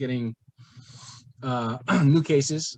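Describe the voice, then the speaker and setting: A man is speaking. He talks with a strong Hawaiian accent. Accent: thick Hawaiian. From East Los Angeles. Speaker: comedian. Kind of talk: casual chat. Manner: halting.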